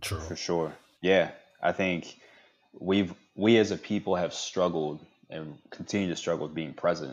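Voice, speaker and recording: With an American accent and a very deep, low pitch, a man speaks at a moderate pace in fairly even intonation, leaving long, frequent pauses. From DC area (Fort Washington, Maryland). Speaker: podcast co-host, startup founder and consultant. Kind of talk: casual chat.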